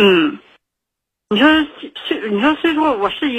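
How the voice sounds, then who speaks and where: Her pitch rises and falls very widely. The woman keeps her delivery at a moderate tempo. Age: 40s. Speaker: caller. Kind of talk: phone-in personal story. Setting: phone call. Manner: halting, many fillers.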